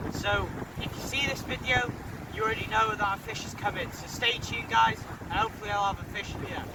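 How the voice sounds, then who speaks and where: A man talks at a very fast pace, with audible room echo and noticeable background noise. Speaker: fishing vlogger. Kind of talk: casual vlog to camera. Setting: outdoors on a windy beach. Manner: shouting over wind.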